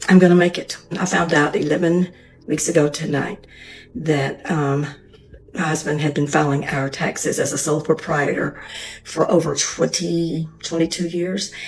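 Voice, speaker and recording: Somewhat breathy, a woman speaks at a very deep, low pitch with fairly even intonation. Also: moderate pace. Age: 60s. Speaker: woman going through divorce. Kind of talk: personal testimony.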